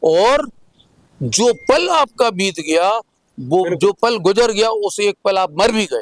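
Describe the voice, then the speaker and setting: A man's high-pitched voice with lively intonation and a dry, close sound free of echo. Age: 70s. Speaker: environmental activist and doctor. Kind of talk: interview.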